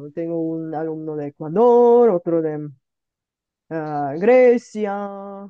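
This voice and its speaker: A woman speaks at a very slow pace with a fairly low pitch and lively intonation. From Bulgaria. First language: Bulgarian and Russian (speaking Spanish). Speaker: online language teacher, polyglot YouTuber. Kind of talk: casual multilingual conversation.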